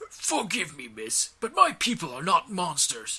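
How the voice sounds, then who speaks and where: The put-on character voice moves along at a moderate pace. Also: man, high pitch for a man. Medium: read story. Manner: formal, precise, condescending.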